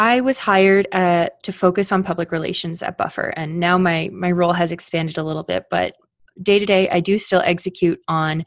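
A woman with a Canadian accent speaks fairly quickly in a plain, everyday voice. Her pitch is fairly low and her intonation fairly even, with a dry, close sound and no echo. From Canada. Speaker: PR specialist and blog editor. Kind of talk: podcast interview.

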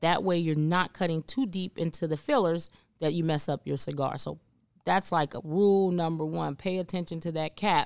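A woman with a plain, everyday voice speaks at a fairly low pitch and moderate pace, her intonation fairly even, on a very clean recording with a silent background. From Cincinnati, Ohio, US Midwest. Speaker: cigar lounge worker and cigar aficionado. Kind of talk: casual chat.

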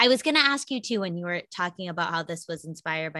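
In a very clean recording with a silent background, a woman speaks in an animated, bright, sharp tone with very wide pitch swings. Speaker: podcast host. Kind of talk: casual interview.

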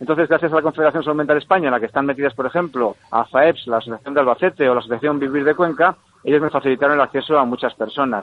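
Here a man speaks at a very fast pace with hardly any pauses. His fairly high voice shows ordinary pitch variation. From Spain, Burgos (Valle de Mena). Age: 50s. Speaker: radio presenter and journalist. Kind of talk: radio interview.

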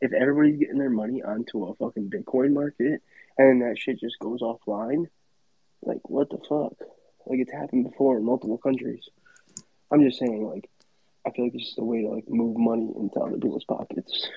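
A man speaks at a fairly quick pace in a normal speaking voice. His pitch is medium, with ordinary pitch variation. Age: 30s. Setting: video call late at night.

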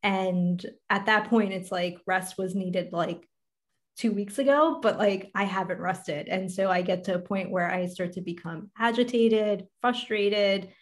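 A woman with an unremarkable speaking voice talks at a moderate pace, her pitch varying in an ordinary way. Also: medium pitch for a woman. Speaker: podcast host and life coach. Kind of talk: casual interview chat.

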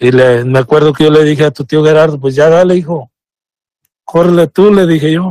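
Dry and close with no echo, a man's voice sits at a fairly high pitch, dark and mellow in tone, with fairly even intonation at a moderate pace. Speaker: immigrant father telling his story. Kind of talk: personal testimony. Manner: reserved, few words. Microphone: shares Bluetooth with wife, sounds a bit far.

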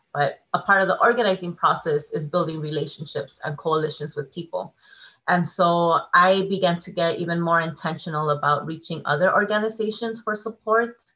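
Speaking with a Californian accent, a woman uses a fairly low pitch with ordinary variation and a fairly quick pace. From Oceanside, North County San Diego, California. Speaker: community organizer and educator. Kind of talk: podcast interview.

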